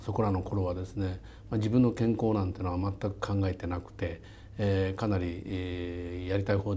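Very deep, low pitch from a man, somewhat breathy, at a moderate pace. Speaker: company chairman and CEO. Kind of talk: interview.

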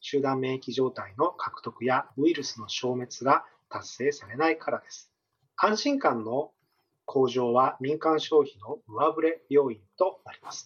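A man with an ordinary speaking voice, fairly high in pitch, with ordinary pitch variation, a fairly slow pace and big swings in loudness. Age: 40s. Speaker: economist. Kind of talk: interview. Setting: remote call. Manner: formal.

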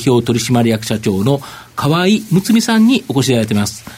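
A man's fairly high voice with very wide pitch swings, amid noticeable background noise. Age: 50s. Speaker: market analyst and segment host. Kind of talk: live broadcast interview.

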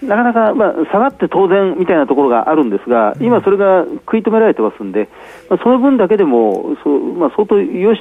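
A man talks at a very fast pace with a high pitch and very wide pitch swings. Background noise is noticeable. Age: 60s. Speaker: stock market analyst. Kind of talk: radio interview on markets.

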